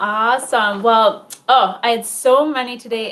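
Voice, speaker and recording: A woman's fairly high voice with ordinary pitch variation, in a Minnesotan accent. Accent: Minnesota. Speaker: wellness coach. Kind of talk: interview.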